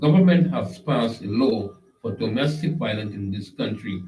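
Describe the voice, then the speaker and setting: Delivered at a moderate pace in a Trinidadian accent, the voice has vocal fry and very wide pitch swings. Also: man. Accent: Trinidad and Tobago Creole English. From Tobago, Trinidad and Tobago. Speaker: online show host. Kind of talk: live stream monologue. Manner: animated.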